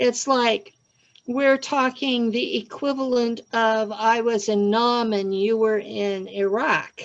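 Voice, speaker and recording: Her pace is very slow. The woman's fairly high voice keeps a fairly even intonation. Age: 60s. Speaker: self-described secret space program experiencer. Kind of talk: casual interview conversation.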